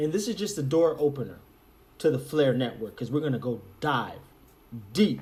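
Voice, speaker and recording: The voice is somewhat breathy and moves at a moderate pace, with audible room echo. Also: man. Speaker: crypto YouTuber. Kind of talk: casual video monologue.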